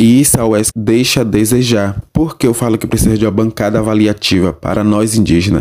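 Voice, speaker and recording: At a moderate pace, a man with a plain, everyday voice speaks at a medium pitch. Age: 20s. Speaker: university student. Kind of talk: interview.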